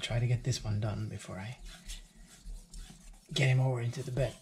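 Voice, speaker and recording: A man speaks quietly in a somewhat breathy voice. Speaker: knife sharpening hobbyist. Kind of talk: tutorial. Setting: home. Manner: quiet, subdued.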